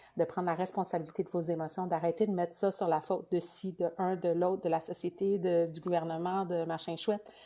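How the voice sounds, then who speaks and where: Against a quiet background, a woman speaks in a dark, mellow tone with flat, monotone intonation. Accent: Quebec. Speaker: spiritual coach. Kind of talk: live stream talk. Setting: live video. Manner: hesitant, many fillers.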